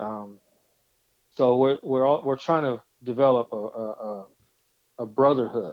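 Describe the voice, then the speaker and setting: Fairly slow and fairly even in intonation, a man speaks at medium pitch. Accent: American. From California (Stockton). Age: 50s. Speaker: DJ. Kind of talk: casual interview.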